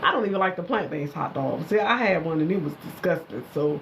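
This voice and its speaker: Noticeable background noise surrounds the recording. A woman speaks at a fairly quick pace in an animated tone. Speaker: hair care business owner hosting a live stream. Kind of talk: casual live stream chat. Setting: social media live stream. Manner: chatty, animated.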